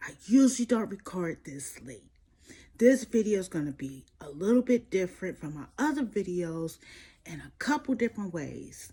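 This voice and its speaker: A put-on character voice whispers in a raspy way at a moderate pace. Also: woman. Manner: whispering.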